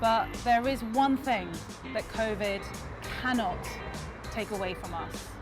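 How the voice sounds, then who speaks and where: With music in the background, a woman talks at a very slow pace. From London. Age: 30s. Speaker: food show presenter. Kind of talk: narration to camera.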